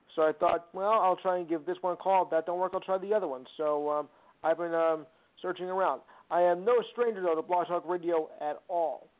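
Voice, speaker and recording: A man with a New Jersey accent speaks at a high pitch and a fairly quick pace, his intonation fairly even. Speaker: caller. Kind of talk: call-in sports talk. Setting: phone call. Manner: halting.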